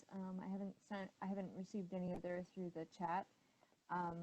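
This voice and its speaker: Soft-spoken and somewhat breathy, a woman talks at a moderate pace in a dark, mellow tone. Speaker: webinar moderator. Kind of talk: meeting moderation.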